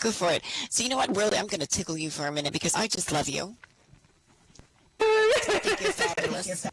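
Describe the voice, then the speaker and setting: Speech at a fairly quick pace broken by long, frequent pauses, with noticeable background noise. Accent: American. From United States. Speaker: talk show host. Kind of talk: live show Q&A.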